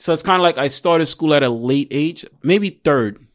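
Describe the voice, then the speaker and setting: A man speaks with a New York accent and lively intonation. The background is quiet. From Queens, New York (born in Jamaica). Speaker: registered nurse and military veteran. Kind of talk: casual chat.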